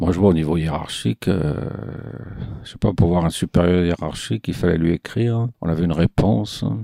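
A man talks at a moderate pace with a very deep, low pitch. The sound is dry and close, without echo. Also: ordinary pitch variation. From southern France, Marseille. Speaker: retiree telling his life story. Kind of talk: life-story testimony. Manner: casual, hesitant with fillers.

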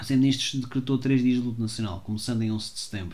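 A man at a medium pitch amid noticeable background noise. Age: 30s. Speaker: solo podcaster. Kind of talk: reading aloud with commentary; casual monologue. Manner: halting.

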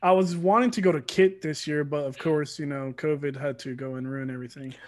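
This man has an ordinary speaking voice with an American accent, a fairly high pitch and ordinary pitch variation. He keeps a moderate pace on a very clean recording with a silent background. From Georgia, US (Atlanta area). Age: 20s. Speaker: competitive gamer. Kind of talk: casual chat.

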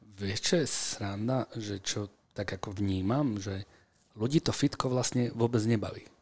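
With fairly even intonation, this man's voice sits fairly low in pitch. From Slovakia, Bratislava and Senec. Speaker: strength and conditioning coach. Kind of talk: interview conversation. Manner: hesitant with fillers.

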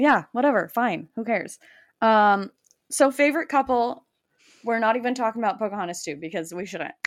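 In a very clean recording with a silent background, a woman with an ordinary speaking voice talks at a fairly quick pace, her fairly high pitch carried by lively intonation. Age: 30s. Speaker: podcast co-host. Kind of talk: casual chat.

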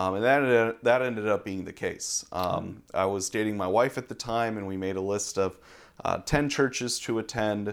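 At a moderate pace, a man speaks in a fairly low pitch with fairly even intonation, a plain, everyday voice on a very clean recording with a silent background. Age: 20s. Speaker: seminary student. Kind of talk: interview conversation. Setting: pastor's office.

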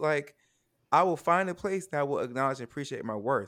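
On a very clean recording with a silent background, a man with an ordinary speaking voice and a fairly high pitch talks at a fairly quick pace. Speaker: guest, theater artist. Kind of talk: casual chat.

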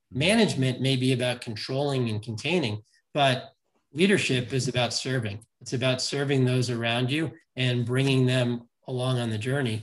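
A man talks at a moderate pace with medium pitch and fairly even intonation. His voice is somewhat breathy. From New York City. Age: 50s. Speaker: leadership coach. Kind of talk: casual interview.

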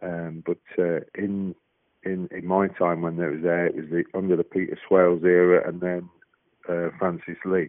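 Here a man speaks at a moderate pace. His voice is very deep and low, with monotone, flat intonation. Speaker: former goalkeeper. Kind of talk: interview. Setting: phone call.

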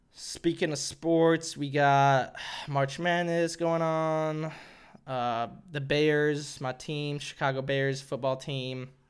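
On a very clean recording with a silent background, a man with an American accent speaks very slowly at a fairly high pitch in a monotone, flat intonation. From Arkansas, US South. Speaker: comedian podcaster. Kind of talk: casual solo podcast monologue. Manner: casual, self-deprecating, profane.

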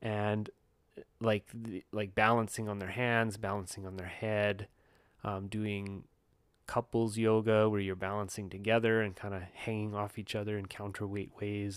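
A man with a normal speaking voice and fairly low pitch talks at a moderate pace in a very clean recording with a silent background. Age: 30s. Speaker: yoga and wellness podcaster. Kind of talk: solo monologue. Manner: casual, with frequent fillers and laughs.

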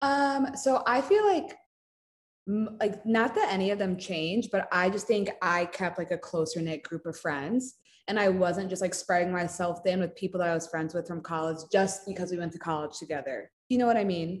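With ordinary pitch variation and a moderate speed, this is an unremarkable speaking voice. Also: woman, medium pitch for a woman. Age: 20s. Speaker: social media content creator. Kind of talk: casual chat.

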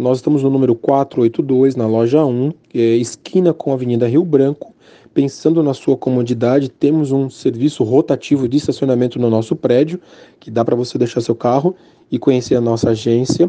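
A dark, mellow tone at a moderate pace with fairly even intonation. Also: man, medium pitch for a man. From São Paulo, Brazil. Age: 40s. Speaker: bank branch manager. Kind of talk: interview; promotional pitch.

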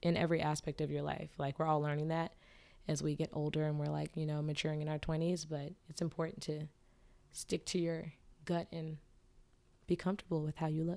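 In a very clean recording with a silent background, a woman speaks with a very deep, low pitch and a dark, mellow tone, leaving long, frequent pauses. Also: fairly quick pace. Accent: American. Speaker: musician and content strategist. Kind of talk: casual interview chat. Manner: animated, casual.

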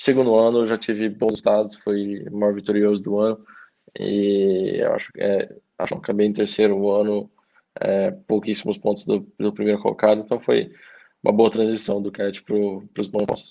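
With a dark, mellow tone and fairly low pitch, a man speaks at a moderate pace in a monotone, flat intonation. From Brazil, Maringá, Paraná. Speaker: racing driver. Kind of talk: interview. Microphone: echo on the line.

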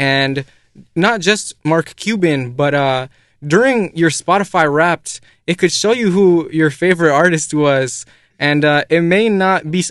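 A man with a normal speaking voice, fairly high in pitch, at a fairly slow pace. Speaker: podcast host. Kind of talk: casual interview.

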